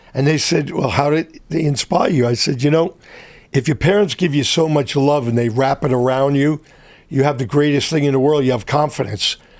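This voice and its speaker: In a New York accent, a man speaks at a fairly quick pace with very even loudness. His pitch is fairly high, with ordinary variation. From New York City (Brooklyn). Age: 70s. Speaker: entrepreneur. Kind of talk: interview. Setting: studio.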